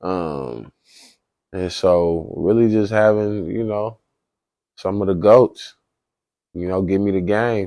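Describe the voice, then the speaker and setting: A man with a dark, mellow tone speaks at a very slow pace with ordinary pitch variation. Long, frequent pauses break up his speech. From US Pacific Northwest, Northeast Portland, Oregon. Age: 20s. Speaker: youth activist and football player. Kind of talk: podcast interview. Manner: casual, filler-heavy.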